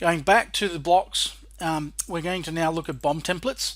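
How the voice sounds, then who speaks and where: A man speaks with an Australian accent at a moderate pace, his pitch high and his intonation fairly even. The recording is very clean, with a silent background. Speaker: software trainer and developer. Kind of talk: tutorial.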